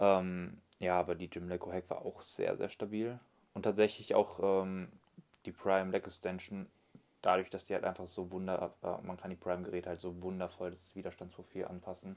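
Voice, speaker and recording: The intonation is monotone and flat. A man delivers it in a very deep, low pitch. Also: moderate pace. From Germany, Solingen. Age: 20s. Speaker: online fitness coach, bodybuilder. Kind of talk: casual chat.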